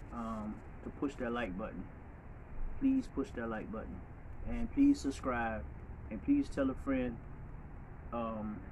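Over light background noise, a man talks at a fairly slow pace with long, frequent pauses. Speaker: vlogger. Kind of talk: casual vlog chat. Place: street. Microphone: phone near.

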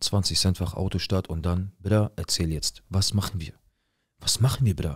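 A man speaks with a very deep, low pitch and ordinary variation. His voice is somewhat breathy, over a quiet background. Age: 20s. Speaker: viewer telling his life story; storyteller. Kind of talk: personal testimony. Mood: serious, tense, emotional. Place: studio. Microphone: studio mic.

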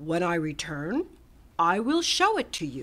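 A put-on character voice with a bright, sharp tone moves at a fairly slow pace. Its pitch swings are very wide. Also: woman, fairly low pitch for a woman.

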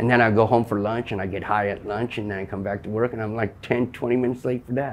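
A man with an American accent talks at a very fast pace and medium pitch, with hardly any pauses and monotone, flat intonation. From Southern California. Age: 50s. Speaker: recovering-from-nothing meth addict interviewee. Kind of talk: interview.

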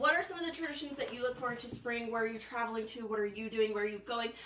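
A woman at a very fast pace, with audible room echo and light background noise. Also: ordinary pitch variation. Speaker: shop host. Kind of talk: live stream sales chat. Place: shop. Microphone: camera far.

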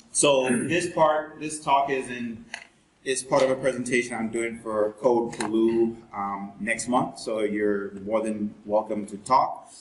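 A man speaks at a very slow pace with ordinary pitch variation. Light background noise and audible room echo are present. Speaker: presenter. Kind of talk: lecture. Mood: jokey, relaxed. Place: classroom. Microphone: camera far.

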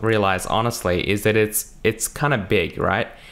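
A man speaks at a fairly slow pace in an ordinary speaking voice, medium in pitch. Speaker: programming tutorial youtuber. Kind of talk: tutorial. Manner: casual, many fillers. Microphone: new microphone.

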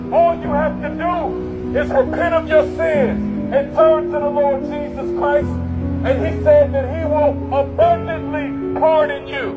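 A man at a fairly slow pace, loud music in the background. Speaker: street preacher. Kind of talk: sermon. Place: street.

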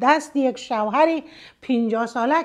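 High-pitched woman's voice in an Afghan accent, ordinary pitch variation, and a quiet background. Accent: Afghan Dari. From northern Afghanistan, Mazar-i-Sharif region; Afghanistan. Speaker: storytelling video blogger. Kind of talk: story narration with commentary. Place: home room.

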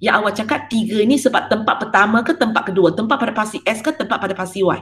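A woman talks at a very fast pace. Her fairly high pitch shows ordinary variation. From Malaysia. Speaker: secondary school maths teacher. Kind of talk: online class lecture. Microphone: webcam.

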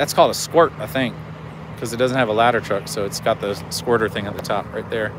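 A man talks at a very fast pace with ordinary pitch variation, in a dry sound with no echo and noticeable background noise. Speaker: YouTube auditor livestreamer. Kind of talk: live stream vlog narration. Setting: outdoors walking around a police station. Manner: casual, loosely rambling. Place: street. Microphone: phone near.

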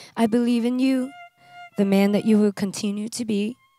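A woman talks at a moderate pace in a medium pitch with fairly even intonation. The sound is dry with no echo, and faint music plays in the background. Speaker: bride. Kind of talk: wedding vows. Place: garden. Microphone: handheld.

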